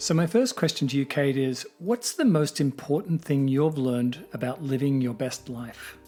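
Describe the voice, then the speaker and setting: Over music in the background, a man with a fairly high pitch and ordinary pitch variation speaks at a moderate pace with hardly any pauses. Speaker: podcast host. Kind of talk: podcast host talk.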